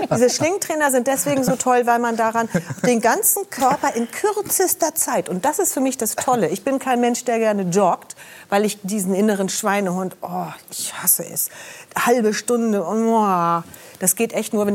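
A woman speaks at a moderate pace in an unremarkable speaking voice. Her intonation is lively. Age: 60s. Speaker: TV health show presenter. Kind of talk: talk show conversation.

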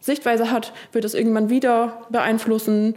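A woman's fairly quick, monotone delivery, flat in intonation, with a dark, mellow tone and a fairly high pitch. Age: 30s. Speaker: contemporary dancer. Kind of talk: casual chat.

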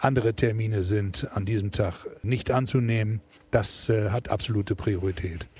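At a moderate pace and a fairly low pitch, a man talks with fairly even intonation over noticeable background noise. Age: 60s. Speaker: football fan, shipping businessman. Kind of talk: casual interview. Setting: in the stadium.

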